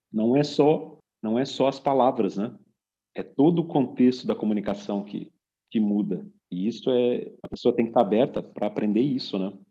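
A man's ordinary speaking voice at medium pitch, with lively intonation and a moderate pace. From Brazil. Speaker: podcast host and business consultant. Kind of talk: casual chat.

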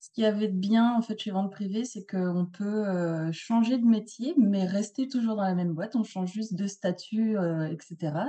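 Somewhat breathy with a dark, mellow tone, the voice moves at a very slow pace with ordinary pitch variation. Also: woman. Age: 40s. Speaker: photo set designer and retoucher. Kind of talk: interview. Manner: hesitant, many fillers.

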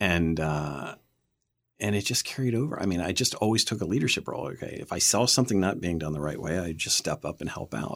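Very fast and with lively intonation, a man with an American accent speaks at a very deep, low pitch. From Pennsylvania (Camp Hill, near Harrisburg). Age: 50s. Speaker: TV producer and director. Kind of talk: interview. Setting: studio.

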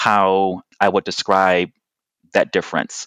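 A man speaks with an American accent in a low, fairly bright voice with a clear, smooth tone. The sound is dry and close, with no echo.

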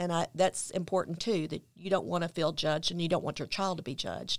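A woman with a Tennessee accent talks at a fairly low pitch, her intonation fairly even. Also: very clean recording, silent background. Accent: Southern US (Tennessee). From US South, Memphis, Tennessee. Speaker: author and mother of a son with addiction. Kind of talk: interview testimony.

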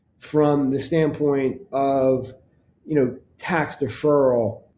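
A man's fairly high-pitched, somewhat breathy voice with a dark, mellow tone. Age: 50s. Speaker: financial advisor. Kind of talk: podcast monologue.

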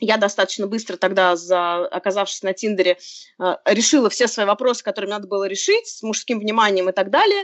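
Here is an ordinary speaking voice from a woman of medium pitch. She moves at a fairly quick pace with fairly even intonation. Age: 30s. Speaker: author and blogger on dating. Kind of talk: casual chat. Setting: video call.

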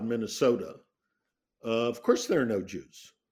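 In a very clean recording with a silent background, a man speaks with a General American accent. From US West Coast, San Francisco. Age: 70s. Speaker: retired rabbi and professor. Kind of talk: interview.

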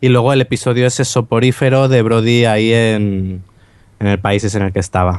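At a moderate pace, a man with an unremarkable speaking voice talks in a medium pitch, with fairly even intonation and very even loudness. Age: 20s. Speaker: podcast co-host. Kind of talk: casual chat.

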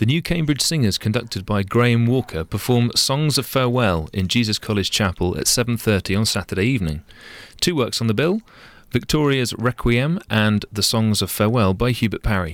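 A man with a plain, everyday voice at medium pitch talks at a fairly quick pace, using lively intonation and very even loudness. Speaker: concert calendar co-presenter. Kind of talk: radio announcer reading concert listings. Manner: crisp, steady, polished broadcast delivery.

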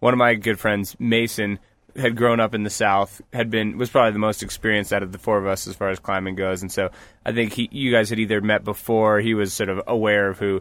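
An American-accented man with a fairly low pitch speaks at a fairly quick pace in a monotone, flat intonation. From US Northeast (New Paltz, New York). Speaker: rock climber. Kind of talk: casual chat. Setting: parked vehicle used as mobile studio.

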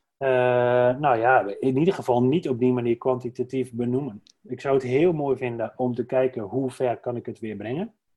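A man's ordinary speaking voice at medium pitch, with fairly even intonation, a moderate pace and hardly any pauses. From Drenthe, Netherlands (Dwingeloo). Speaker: entrepreneur, brand strategist. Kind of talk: casual interview. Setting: indoor podcast recording.

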